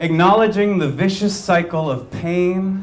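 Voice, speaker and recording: There is light background noise. A man talks at a fairly slow pace. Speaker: candidate. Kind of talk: campaign speech. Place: bar. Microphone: handheld.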